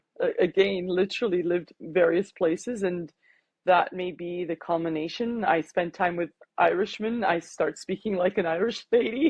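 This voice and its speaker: A woman talks at a medium pitch and moderate pace with ordinary pitch variation. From Canada, Toronto. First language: Armenian. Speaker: life coach. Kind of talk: interview.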